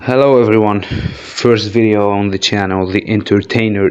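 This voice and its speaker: Over noticeable background noise, a man speaks in a monotone with flat intonation, his pitch fairly low and hardly any pauses. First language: not English (English is third language). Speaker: wrestling commentary youtuber. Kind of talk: casual monologue video commentary. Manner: casual with filler hesitations.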